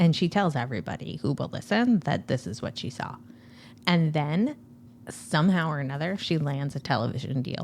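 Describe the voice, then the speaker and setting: A woman speaks in a very deep, low voice with very wide pitch swings and an animated tone. The recording is very clean, with a silent background. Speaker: podcast co-host. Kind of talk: casual chat. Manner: fast.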